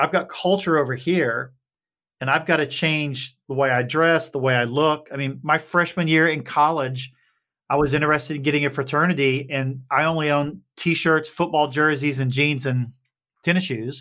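A man with an Appalachian accent speaks at a fairly high pitch in a bright, sharp tone with fairly even intonation. The recording is very clean, with a silent background. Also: moderate pace. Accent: Appalachian Southern US. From Appalachian Kentucky. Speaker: startup CEO. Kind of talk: interview conversation.

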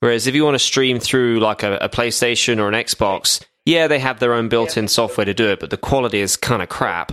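A man in a British accent at a medium pitch, fairly quick pace with hardly any pauses, ordinary pitch variation, and a dry, close sound with no echo. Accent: British, mistaken by host for Australian. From UK. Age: 30s. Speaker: podcaster. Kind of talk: casual chat.

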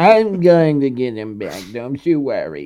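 A put-on character voice from a man, fairly slow in pace and medium in pitch

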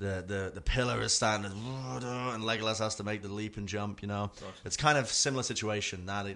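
This is plain reading aloud. Nothing else stands out.

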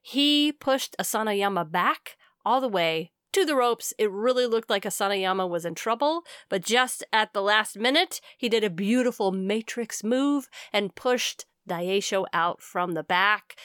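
A woman with an unremarkable speaking voice talks at a moderate pace in a fairly high pitch, using lively intonation. The very clean recording has a silent background and a dry, close sound with no echo. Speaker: podcast host. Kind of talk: casual chat.

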